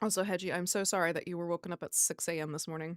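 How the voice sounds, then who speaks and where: Her speech comes out fairly quickly. The recording is very clean, and the background is silent. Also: dry, close sound with no echo. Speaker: streamer. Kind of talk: casual chat. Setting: livestream.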